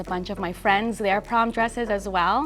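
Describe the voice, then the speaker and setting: A woman with a Canadian accent, medium pitch and fairly even intonation at a fairly quick pace over music in the background. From Canada, Toronto area. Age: 20s. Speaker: fashion designer. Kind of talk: interview testimony. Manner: casual with frequent fillers.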